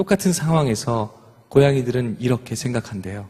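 A man's medium-pitched, somewhat breathy voice at a fairly slow pace, with lively intonation. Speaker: singer. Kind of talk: stage talk to audience.

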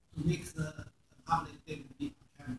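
A fairly bright tone with a husky, rough edge, lively intonation and a fairly quick pace.

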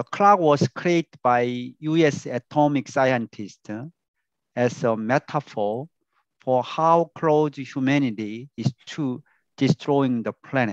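A man speaks at a very slow pace with ordinary pitch variation. The background is quiet and the sound is dry, with no echo. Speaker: professor giving a talk. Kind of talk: lecture.

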